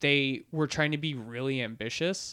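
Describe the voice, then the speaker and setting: A man with a normal speaking voice and a fairly high pitch talks at a fairly slow pace with ordinary pitch variation, in a very clean recording with a silent background and a dry, close sound with no echo. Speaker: podcast host. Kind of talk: casual chat.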